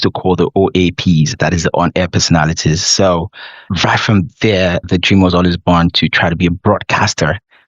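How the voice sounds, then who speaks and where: A man speaks in a very deep, low pitch. His pace is moderate. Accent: Nigerian. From Nigeria. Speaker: consulting CEO and podcaster. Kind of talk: podcast interview. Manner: animated.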